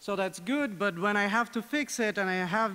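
Raising and projecting his voice, a man speaks at a moderate pace in a high pitch with a bright, sharp tone and ordinary pitch variation. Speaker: software developer; conference speaker. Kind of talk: conference lightning talk. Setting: stage with audience. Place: hall. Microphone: podium.

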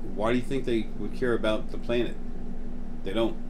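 Fairly even intonation over noticeable background noise. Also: man. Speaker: channel host talking about spiritual topics. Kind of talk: casual monologue. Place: home room. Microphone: phone near.

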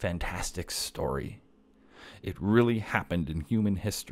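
This man's voice sits very deep and low in pitch, with ordinary variation. He speaks at a moderate pace. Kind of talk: casual theology monologue. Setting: home kitchen table. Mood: earnest, warm. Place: home room. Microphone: studio mic.

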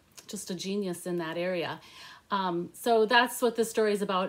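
With ordinary pitch variation, this woman's speech moves at a fairly quick pace. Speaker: book reviewer. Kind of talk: casual vlog chat. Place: home room. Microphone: phone near.

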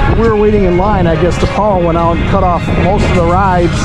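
A man is speaking over loud background music. The sound is dry, with no echo. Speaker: travel vlogger. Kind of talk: casual vlog chat. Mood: amused, chatty. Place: street. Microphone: phone near.

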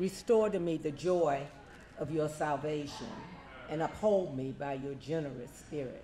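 Audible room echo and light background noise surround speech at a moderate pace. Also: man. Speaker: prayer leader and scripture reader; scripture reader. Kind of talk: prayer and scripture reading. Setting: church meeting. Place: home room. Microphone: handheld.

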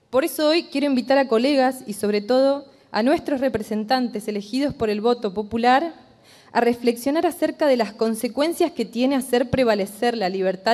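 A woman's high-pitched voice keeps a moderate pace and shows ordinary pitch variation. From Argentina, Entre Ríos (Concordia); Entre Ríos, Argentina. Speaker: general practitioner doctor, activist. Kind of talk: formal speech to a legislative committee. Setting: committee hearing room. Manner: formal. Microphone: podium.

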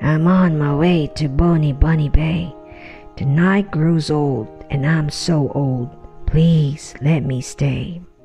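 A shaky put-on character voice at a middle pitch and a very slow pace, with clear music in the background. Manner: pleading, feigning weakness.

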